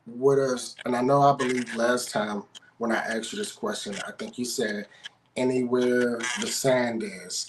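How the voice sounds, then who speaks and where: Medium pitch from a man at a moderate pace, with ordinary pitch variation and noticeable background noise. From Pittsburgh. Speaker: sports show host. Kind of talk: casual interview.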